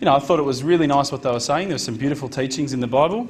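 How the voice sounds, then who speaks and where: Over music in the background, a man with an Australian accent speaks at a medium pitch. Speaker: convert giving a talk. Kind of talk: personal testimony talk to an audience. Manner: casual, conversational with fillers.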